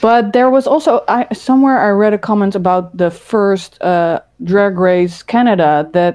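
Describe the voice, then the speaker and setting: A woman with a Dutch accent speaks at a fairly slow pace, her medium pitch moving with ordinary variation and her loudness staying very even. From Netherlands, Rotterdam. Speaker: former podcast host. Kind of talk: casual chat.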